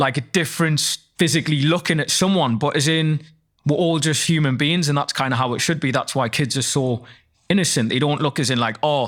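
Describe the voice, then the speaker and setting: With a Geordie accent, a man talks at a fairly quick pace in a fairly high pitch, with ordinary pitch variation and very even loudness. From northeast England. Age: 20s. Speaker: rapper and actor. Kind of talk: casual interview chat.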